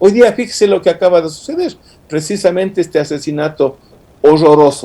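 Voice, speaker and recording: With a dark, mellow tone, a man speaks at a moderate pace and a fairly high pitch. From Ecuador, Ibarra. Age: 60s. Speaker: lawyer, political analyst. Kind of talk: radio interview. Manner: animated.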